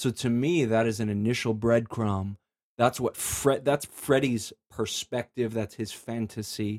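With an American accent and a plain, everyday voice, a man at medium pitch speaks with fairly even intonation in a dry, close sound with no echo, on a very clean recording with a silent background. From US Midwest, Chicago area. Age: 30s. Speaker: author. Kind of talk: casual chat.

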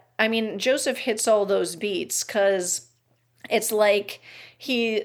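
On a very clean recording with a silent background, a woman speaks at a fairly high pitch with fairly even intonation. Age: 40s. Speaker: podcast host, almost-ordained minister. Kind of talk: casual chat.

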